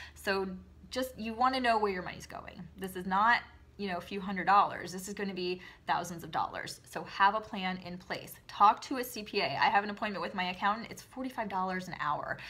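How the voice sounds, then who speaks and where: This woman speaks fairly quickly at a medium pitch, with ordinary pitch variation. Her tone is bright and sharp, and her loudness swings widely. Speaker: direct sales consultant and video host. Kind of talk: casual advice talk to camera. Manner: fast; perky, upbeat.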